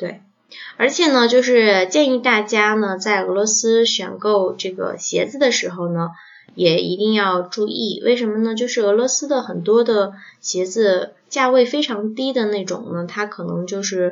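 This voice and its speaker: At a fairly slow pace, a woman speaks with fairly high pitch and ordinary pitch variation. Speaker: podcast host. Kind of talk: casual chat. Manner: hesitant with many fillers.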